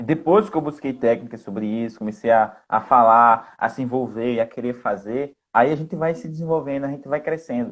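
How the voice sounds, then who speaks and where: A man talks in a medium pitch with ordinary pitch variation and hardly any pauses. The recording is very clean, with a silent background. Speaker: live co-host. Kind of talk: casual live chat. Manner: fast.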